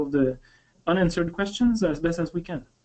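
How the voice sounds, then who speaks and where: The speaker talks at a moderate pace in a French accent. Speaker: company webinar host. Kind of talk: webinar closing remarks. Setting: online webinar. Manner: halting, many fillers.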